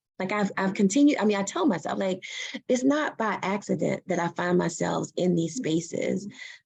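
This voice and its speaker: A woman with vocal fry speaks in an animated tone at medium pitch and a moderate pace. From US Mid-Atlantic, Prince George's County near Washington DC. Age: 40s. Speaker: physician assistant and professor. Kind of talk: Q&A talk. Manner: animated, repetitive emphasis.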